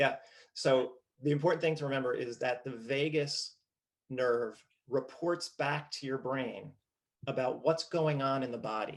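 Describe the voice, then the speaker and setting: With a New Jersey accent, the speaker goes at a fairly slow pace, keeps the intonation fairly even, and leaves long, frequent pauses. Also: man, fairly high pitch for a man. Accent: New Jersey American. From US, New Jersey. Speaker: postural restoration trainer. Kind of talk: casual interview. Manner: halting, repeats words.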